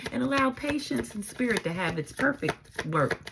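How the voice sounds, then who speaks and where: Noticeable background noise sits under a woman's animated, medium-pitched voice, which moves at a moderate pace with very wide pitch swings. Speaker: tarot reader and spiritual advisor. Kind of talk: tarot reading monologue. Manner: mellow.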